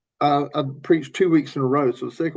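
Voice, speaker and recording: A man talks at a very fast pace with a Southern US accent. His pitch is fairly high, and the background is quiet. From US South, Tennessee. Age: 60s. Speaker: pastor. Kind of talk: podcast interview.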